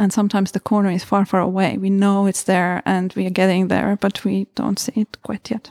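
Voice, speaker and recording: A woman speaks at a medium pitch in a monotone, flat intonation, fairly quickly and with hardly any pauses. The recording is very clean, the background silent. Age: 50s. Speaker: mindfulness teacher. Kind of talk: talk. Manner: halting.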